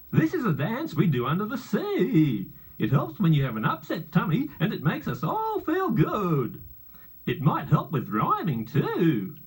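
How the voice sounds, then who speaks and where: Using a put-on character voice, the speaker keeps to a moderate pace. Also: man, high pitch for a man. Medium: read story.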